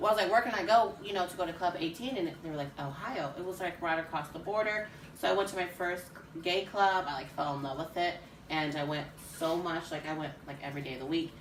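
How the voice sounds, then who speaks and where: With an American accent, a woman speaks very fast at a fairly low pitch with ordinary pitch variation, while audible room echo and noticeable background noise fill the recording. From Indiana, US Midwest (Richmond). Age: 20s. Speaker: drag performer. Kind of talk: casual interview.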